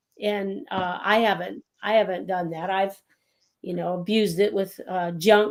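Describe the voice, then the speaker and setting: Her pitch sits in the middle range as this woman speaks fairly slowly with fairly even intonation. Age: 60s. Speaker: ministry host. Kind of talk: casual chat. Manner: halting.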